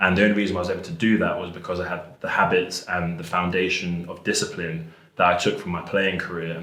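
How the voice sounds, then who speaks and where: There is audible room echo and noticeable background noise as a man talks at a very fast pace. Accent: English. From England. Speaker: rugby and American football player. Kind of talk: interview. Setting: school.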